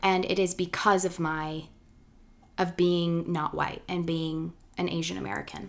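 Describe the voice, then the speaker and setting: A woman speaks at a fairly slow pace in an unremarkable speaking voice. Her pitch is fairly low and her intonation fairly even. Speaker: podcast host. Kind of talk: casual interview chat. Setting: morning recording.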